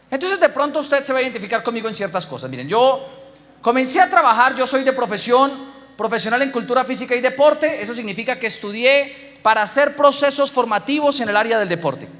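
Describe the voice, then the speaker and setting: A man talks at a very fast pace in an extremely high pitch, with ordinary pitch variation. His tone is animated, and there is noticeable background noise. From Colombia, Boyacá. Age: 20s. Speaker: business speaker. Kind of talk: motivational talk.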